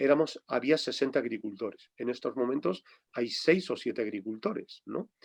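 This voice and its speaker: A man's medium-pitched voice at a moderate pace, with lively intonation, in a dry, close sound with no echo. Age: 60s. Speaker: farmer and rural activist. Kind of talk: interview. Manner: halting.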